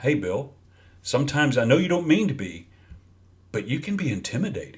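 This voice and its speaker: A man with a fairly high voice, very wide pitch swings and vocal fry speaks with long, frequent pauses. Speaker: leadership coach. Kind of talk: talking-head video monologue. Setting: video recording.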